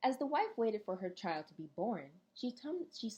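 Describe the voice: The clip is plain reading aloud. The words are read in a straightforward way.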